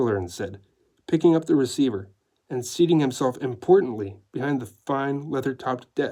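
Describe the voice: Lively intonation across plain reading aloud, with a quiet background.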